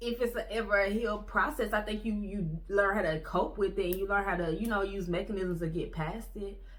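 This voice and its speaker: With audible room echo and noticeable background noise, a woman talks at a fairly quick pace, with hardly any pauses and fairly even intonation. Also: medium pitch for a woman. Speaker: vlogger. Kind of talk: casual monologue. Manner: fast.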